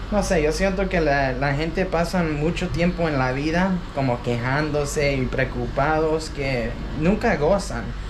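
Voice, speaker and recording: Against noticeable background noise, the speaker goes at a fairly slow pace with hardly any pauses. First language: English (speaking Spanish). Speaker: travel vlogger. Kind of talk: casual vlog talk to camera. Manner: halting, many fillers.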